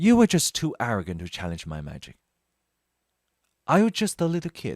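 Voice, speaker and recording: Using a put-on character voice, a man sounds strained, with a fairly high pitch and big swings in loudness. He moves at a fairly quick pace in a very clean recording with a silent background. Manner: natural, restrained.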